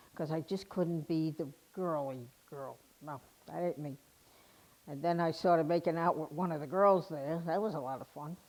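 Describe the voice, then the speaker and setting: A speaker with an American accent talks at a moderate pace with fairly even intonation, on a very clean recording with a silent background. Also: woman. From New York. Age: 60s. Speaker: retired army veteran. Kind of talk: personal testimony. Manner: casual, conversational with fillers.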